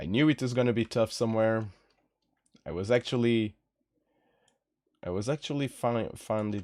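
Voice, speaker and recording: On a very clean recording with a silent background, a man with a Portuguese accent speaks in a relaxed tone at a moderate pace, with ordinary pitch variation and long, frequent pauses. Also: medium pitch for a man, dry, close sound with no echo. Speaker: singer and streamer composing music. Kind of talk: casual live stream chat. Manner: relaxed, chilled; halting, repeats words.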